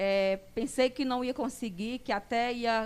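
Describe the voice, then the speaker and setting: A woman speaks at a fairly slow pace. Her high pitch shows ordinary variation. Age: 30s. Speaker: mother and staff member. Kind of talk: personal testimony. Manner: halting.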